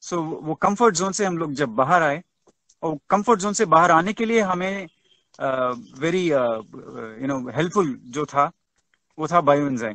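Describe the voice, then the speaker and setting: A speaker with a Tamil accent talks at a moderate pace. The intonation is lively. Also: man, fairly high pitch for a man. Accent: Tamil-accented Hindi. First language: Tamil (speaking Hindi). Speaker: webinar speaker. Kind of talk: webinar talk. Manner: halting, many fillers; code-switching Hindi and English.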